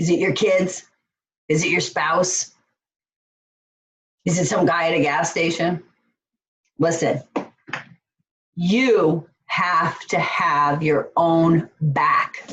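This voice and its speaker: A woman talks very slowly, leaving long, frequent pauses. Her fairly low voice shows ordinary pitch variation. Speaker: life coach. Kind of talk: online course lesson.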